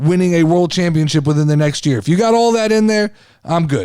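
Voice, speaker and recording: This man's voice sits high in pitch and has a dark, mellow tone. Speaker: wrestling podcast host. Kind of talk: casual podcast monologue. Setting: video podcast. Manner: loud, overreactive on air; animated.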